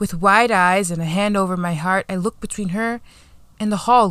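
Someone reads aloud using a natural voice.

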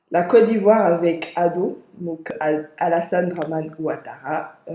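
A woman speaks at a very slow pace in a fairly low voice. Her intonation stays fairly even. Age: 20s. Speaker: podcast host. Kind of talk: scripted reading; casual discussion.

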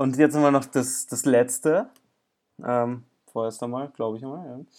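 The speaker is a man. His pitch is fairly high. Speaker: podcast host and amateur tennis player. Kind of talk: casual chat.

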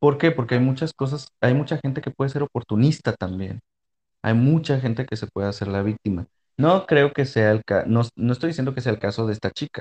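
A man with an ordinary speaking voice talks at a fairly quick pace and medium pitch with ordinary pitch variation. The background is quiet and the sound dry and close, with no echo. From Mexico, Monterrey. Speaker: podcast host. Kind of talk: casual chat. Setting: studio.

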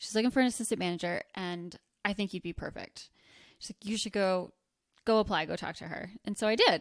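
An unremarkable speaking voice with an American accent uses fairly even intonation, with big swings in loudness. The recording is very clean with a silent background, the sound dry and close with no echo. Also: woman, medium pitch for a woman. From US Northeast (rural northwest New Jersey). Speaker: lingerie shop owner. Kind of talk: casual chat.

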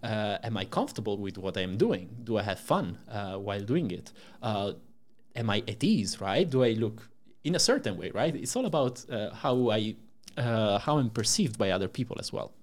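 The speaker is a man with an Italian accent. His pitch is medium. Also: ordinary pitch variation, moderate pace. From Italy. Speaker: startup co-founder and CTO. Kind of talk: interview. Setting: podcast recording.

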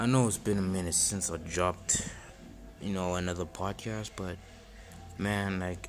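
A man with a very deep, low pitch speaks at a moderate pace in a monotone, flat way. Music plays in the background, and the room adds audible echo. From South Africa. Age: 20s. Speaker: podcaster. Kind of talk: solo self-help monologue. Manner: halting, many fillers and repetitions.

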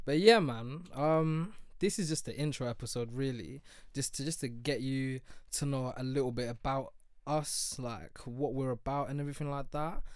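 The voice carries a London accent. Its pace is moderate. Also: man, fairly high pitch for a man, ordinary pitch variation. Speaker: podcast host. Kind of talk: casual banter chat. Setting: studio. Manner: animated, swearing.

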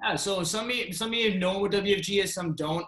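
A man talks in a raised, projected voice at a moderate pace. His pitch varies in an ordinary way. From Kuwait, then Canada. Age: 20s. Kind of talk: interview. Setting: call.

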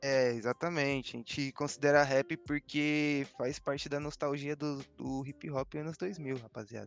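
Here is a normal speaking voice at a fairly slow pace. The intonation is fairly even, with hardly any pauses. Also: man, fairly high pitch for a man. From Brazil, São Paulo East Zone. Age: young. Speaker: DJ. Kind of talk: casual chat.

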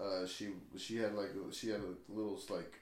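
A man's fairly low voice in an American accent at a very slow pace, with fairly even intonation and audible room echo. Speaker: podcast host. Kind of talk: casual chat.

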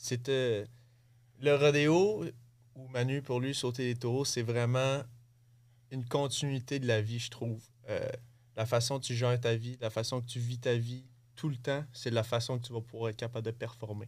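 A man talks at a moderate pace with a medium pitch and fairly even intonation, leaving long, frequent pauses. The recording is very clean, the background silent. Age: 20s. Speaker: bull rider and coach. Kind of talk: interview. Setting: studio.

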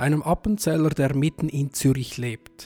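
A man with a fairly high pitch and a dark, mellow tone, fairly even intonation, a fairly slow pace, a dry, close sound with no echo, and a very clean recording with a silent background. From Central Switzerland. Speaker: podcast host. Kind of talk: interview conversation. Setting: sacristy of a small chapel.

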